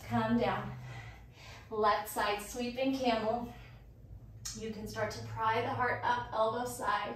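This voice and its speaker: A woman speaks at a very slow pace. Audible room echo fills the recording. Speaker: yoga instructor. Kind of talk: guided yoga class cues. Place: garage.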